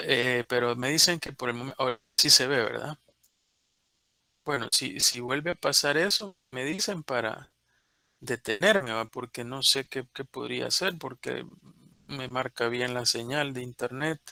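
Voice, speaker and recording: A man's bright, sharp voice comes at a medium pitch with ordinary pitch variation and a fairly slow pace, in a dry, close sound with no echo. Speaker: university lecturer. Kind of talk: online lecture.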